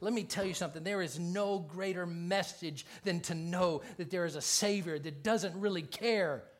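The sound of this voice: A reading voice that is unforced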